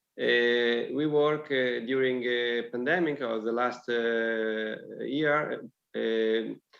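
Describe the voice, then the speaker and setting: In an Italian accent, a man speaks amid audible room echo. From Italy. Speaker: local councillor. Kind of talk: presentation. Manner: halting.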